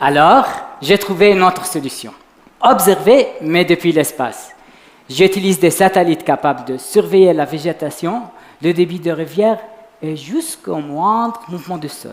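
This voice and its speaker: A man speaks at a high pitch with ordinary pitch variation and a fairly slow pace. Long, frequent pauses and noticeable background noise run through the clip. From Lebanon. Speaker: PhD student, science communication contestant. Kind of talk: short competitive science talk. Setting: stage with audience. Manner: quiet.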